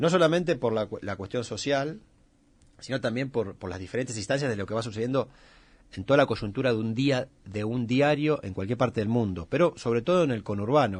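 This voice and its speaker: This man has a normal speaking voice at a medium pitch, with lively intonation. He talks at a fairly quick pace against a quiet background. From Argentina, Greater Buenos Aires. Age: 40s. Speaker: photojournalist. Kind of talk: radio interview.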